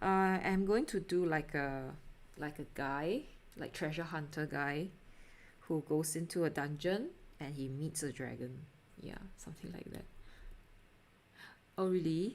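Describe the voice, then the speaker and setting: This woman has a very deep, low voice and a Singaporean accent, with ordinary pitch variation and big swings in loudness. She talks at a fairly slow pace with long, frequent pauses. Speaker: artist live streamer. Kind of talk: casual live stream chat while painting. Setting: live stream at home. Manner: hesitant, many fillers. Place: home room.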